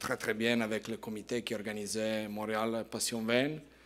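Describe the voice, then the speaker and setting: A man's medium-pitched voice with an Italian accent, in a very clean recording over a silent background. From Italy, Piedmont. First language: Italian (speaking French). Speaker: winemaker. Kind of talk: presentation to audience. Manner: halting, repeating words.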